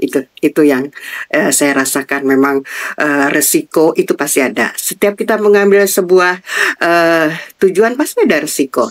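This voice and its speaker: A woman's ordinary speaking voice, fairly low in pitch, at a moderate pace and very even loudness. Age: 60s. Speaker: retired civil servant. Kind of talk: interview.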